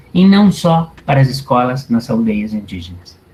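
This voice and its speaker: A man's dark, mellow tone, somewhat breathy, at a fairly slow pace. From Colombia. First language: Spanish (speaking Portuguese). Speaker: anthropology professor. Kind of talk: lecture.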